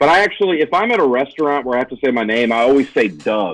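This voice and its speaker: On a very clean recording with a silent background, a man with a Southern US accent talks with lively intonation. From US South, Tennessee/Alabama. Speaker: stand-up comedian and podcast co-host. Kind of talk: casual chat.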